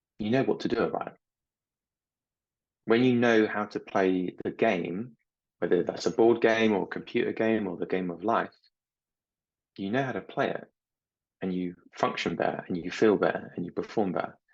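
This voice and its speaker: A man speaks with long, frequent pauses. His pitch varies in an ordinary way. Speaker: anxiety coach and former CBT lecturer. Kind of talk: online coaching workshop talk. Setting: online group call. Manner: sometimes fast, sometimes pausing; repeats words, self-interrupting.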